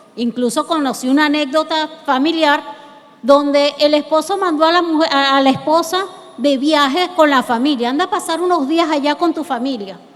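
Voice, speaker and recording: Against noticeable background noise, a woman speaks with a high pitch. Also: ordinary pitch variation, moderate pace. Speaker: lawyer. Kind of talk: lecture.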